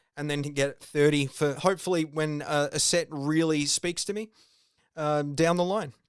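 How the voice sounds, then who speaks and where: Fairly high in pitch, a man speaks with an Australian accent at a moderate pace. His intonation is fairly even, and the recording is very clean with a silent background. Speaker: video game podcaster. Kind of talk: solo podcast commentary. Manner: casual, with many fillers.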